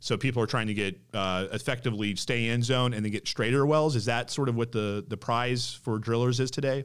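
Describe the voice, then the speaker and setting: A man with a plain, everyday voice, medium pitch, fairly even intonation and a fairly quick pace, hardly any pauses, on a very clean recording with a silent background. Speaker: podcast host. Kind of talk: interview.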